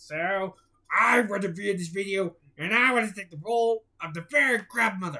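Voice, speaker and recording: A man in a put-on character voice, high in pitch, at a moderate pace. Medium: read story. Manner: gruff, hearty.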